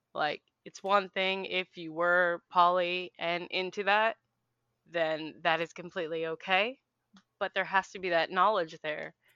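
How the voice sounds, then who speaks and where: Speaking fairly slowly with an American accent, a woman uses a fairly low pitch, a bright and sharp tone, and flat, monotone intonation with big swings in loudness. The sound is dry and close with no echo, over a quiet background. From Philadelphia. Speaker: podcast guest. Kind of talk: casual chat.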